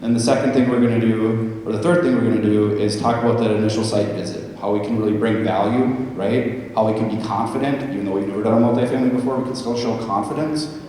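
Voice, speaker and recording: Over noticeable background noise and audible room echo, a man with a medium pitch speaks at a very fast pace with fairly even intonation. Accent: American. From Minnesota. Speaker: weatherization program presenter. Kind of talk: conference presentation. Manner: loud.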